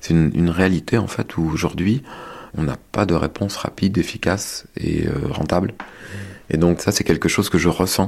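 Here a man speaks in a very deep, low pitch. His pace is moderate and his pitch variation ordinary. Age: 40s. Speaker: sheep farmer. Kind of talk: testimony. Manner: halting.

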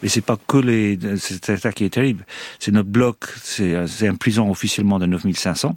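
A man with an Irish accent at a fairly slow pace, with ordinary pitch variation. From Ireland. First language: English (speaking French). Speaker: former hostage. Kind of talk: interview testimony. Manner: halting.

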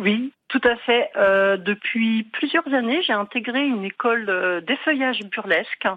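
A woman speaks very slowly, with hardly any pauses. Her pitch is fairly high and varies in an ordinary way. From Marne, France. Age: 50s. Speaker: caller. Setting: phone call.

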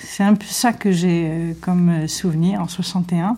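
The voice belongs to a woman with a fairly low pitch. Its tone is dark and mellow. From Algeria, Sétif. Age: 70s. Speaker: witness, childhood memories. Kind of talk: testimony.

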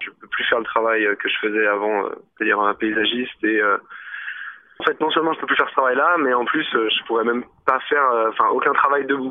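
A man's medium-pitched voice moves at a fairly quick clip, its pitch shifting in an ordinary way. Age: 20s. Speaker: injured protester. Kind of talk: testimony. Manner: halting.

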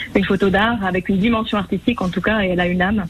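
Noticeable background noise sits behind the voice. A woman speaks at medium pitch with fairly even intonation. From France, Savoie (Chambéry). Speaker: portrait photographer. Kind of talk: radio interview. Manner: hesitant, many filler sounds.

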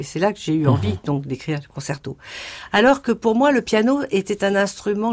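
A plain, everyday voice at a moderate pace, with lively intonation and a very clean recording over a silent background. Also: woman. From Morocco (Casablanca), then Paris from age 10. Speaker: composer. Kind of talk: interview.

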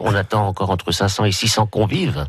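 A man's fairly low voice has a somewhat breathy sound. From Brittany. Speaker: village festival committee member. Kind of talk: radio interview. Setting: radio studio. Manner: halting.

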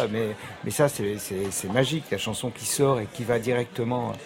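Fairly slow, medium-pitched speech from a man against noticeable background noise. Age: 50s. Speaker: record producer and label owner. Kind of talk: radio interview.

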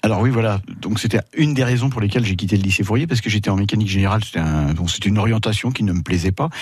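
A man with a fairly low pitch speaks at a very fast pace, somewhat breathy. His loudness is very even and his pitch variation ordinary. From Paris, France. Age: 60s. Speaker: retired winemaker. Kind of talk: radio interview. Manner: halting.

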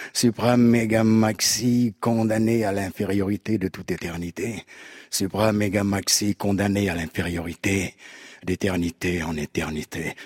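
Dry and close with no echo, a man talks at a fairly slow pace in a fairly low pitch. He has an unremarkable speaking voice with fairly even intonation. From Cameroon. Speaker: actor and slam poet. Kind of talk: slam poetry performance. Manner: rhythmic declamation.

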